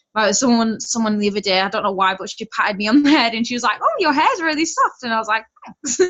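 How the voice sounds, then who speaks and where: A woman with a West Yorkshire accent, fairly high-pitched, at a very fast pace with lively intonation. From West Yorkshire, England. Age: 20s. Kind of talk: personal testimony on a group call. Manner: casual, chatty.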